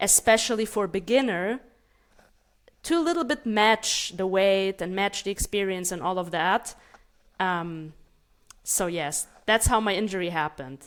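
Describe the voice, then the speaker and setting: A woman with a Russian accent speaks at a moderate pace with long, frequent pauses. Her medium pitch shows ordinary variation, and the recording is very clean with a silent background. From Germany, child of Moldovan immigrants. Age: 30s. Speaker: martial arts coach. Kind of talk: interview.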